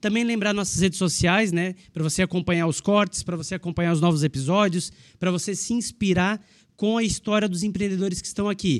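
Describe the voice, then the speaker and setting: A high-pitched man at a very fast pace, fairly even in intonation, on a very clean recording with a silent background. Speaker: podcast co-host. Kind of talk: sponsor reads and interview.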